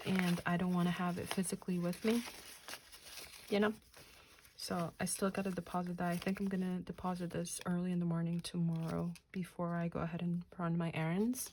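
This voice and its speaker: Somewhat breathy speech comes out in monotone, flat intonation. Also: woman, fairly low pitch for a woman, fairly quick pace. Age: 30s. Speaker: budgeting YouTuber. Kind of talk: casual vlog tutorial. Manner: casual, chatty; counting aloud.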